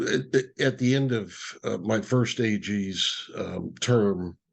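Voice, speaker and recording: The setting is quiet. A man speaks, and his pitch varies in an ordinary way. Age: 60s. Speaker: nonprofit leader and attorney. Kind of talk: interview. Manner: halting, many fillers.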